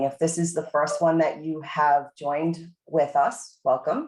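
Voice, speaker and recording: A woman's very deep, low voice, fairly slow, with a Boston accent. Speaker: university administrator leading faculty meeting. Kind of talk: meeting presentation.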